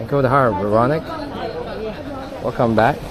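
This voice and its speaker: Crowd noise fills the background, and the room has audible echo. A man speaks at medium pitch with ordinary pitch variation. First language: Taizhou dialect (Wu Chinese). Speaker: live streamer. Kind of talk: casual live-stream chat.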